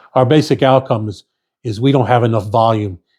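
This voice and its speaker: Recorded very cleanly against a silent background, a man's somewhat breathy, dark and mellow voice moves at a fairly quick pace in a medium pitch with ordinary pitch variation, the sound dry and close with no echo. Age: 60s. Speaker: firewood business owner, retired painting contractor. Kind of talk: casual monologue to camera. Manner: halting, with many repeats and fillers; conversational.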